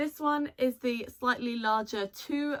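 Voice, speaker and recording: The speaker is a woman with a British accent. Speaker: fursuit maker. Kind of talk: tutorial; scripted narration.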